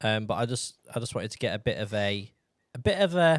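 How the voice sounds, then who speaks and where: A man speaks with a northern English accent. The sound is dry and close, with no echo. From northern England, Yorkshire or North Lincolnshire. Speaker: podcast host. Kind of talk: casual chat.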